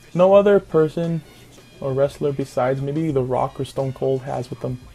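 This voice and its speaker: Fairly high pitch for a man, ordinary pitch variation, music in the background. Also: long, frequent pauses. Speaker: youtuber. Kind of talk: casual talk to camera.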